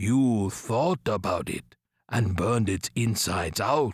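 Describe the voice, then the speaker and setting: On a very clean recording with a silent background, a man uses a put-on character voice at a fairly slow pace. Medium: read story. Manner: measured, matter-of-fact.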